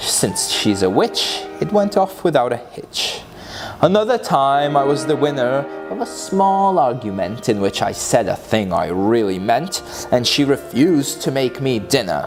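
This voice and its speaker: Music plays behind a man speaking at a fairly slow pace. His medium pitch swings very widely. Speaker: author reading own book. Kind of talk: dramatic reading of humorous rhyming book.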